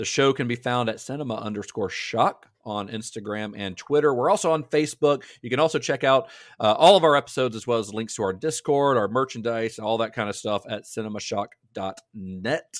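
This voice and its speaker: Talking in a plain, everyday voice at a fairly quick pace with hardly any pauses, a man has a medium pitch and ordinary pitch variation on a very clean recording with a silent background. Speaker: film historian and podcast co-host. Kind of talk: casual podcast discussion. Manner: laughs often, chatty.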